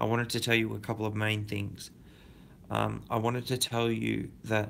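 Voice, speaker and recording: A quiet man with an Australian accent, at a moderate pace. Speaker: crypto YouTuber. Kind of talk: casual livestream chat. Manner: halting.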